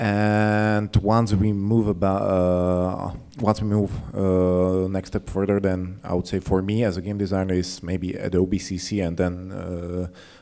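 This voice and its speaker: This man's very deep, low voice has a dark, mellow tone and a monotone, flat intonation at a fairly slow pace. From Slovakia. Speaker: UX game designer; panelist. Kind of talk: conference panel discussion. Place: hall. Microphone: handheld.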